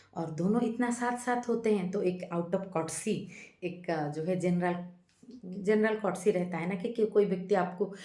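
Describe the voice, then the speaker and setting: With an East Indian accent, a woman speaks at medium pitch and a moderate pace. Her intonation is fairly even, and room echo can be heard. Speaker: YouTube channel host, movie-based life philosophy talks. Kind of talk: casual monologue, movie review with reflection. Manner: hesitant, with filler sounds.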